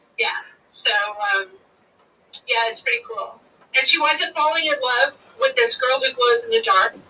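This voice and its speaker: Using a raised, projected voice, a woman speaks at a moderate pace in a high pitch with very wide pitch swings and long, frequent pauses. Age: 50s. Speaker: folk singer and bard. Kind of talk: interview.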